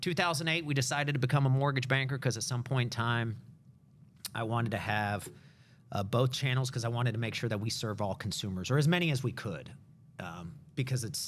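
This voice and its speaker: Talking at a fairly quick pace, a man uses a medium pitch with ordinary pitch variation. There is audible room echo. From US, Cuban immigrant family. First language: Spanish. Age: 40s. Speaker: mortgage company executive. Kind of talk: interview.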